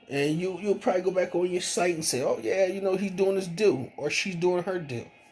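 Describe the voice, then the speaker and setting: Through noticeable background noise, a man speaks at a high pitch and fairly quick pace with ordinary pitch variation. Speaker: vlogger. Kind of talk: casual monologue. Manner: mumbling; halting.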